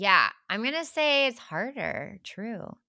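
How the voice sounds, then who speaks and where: A woman speaks loudly in a bright, sharp tone with lively intonation, on a very clean recording with a silent background. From deep South Texas. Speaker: podcast co-host. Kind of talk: casual chat. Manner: loud laugh.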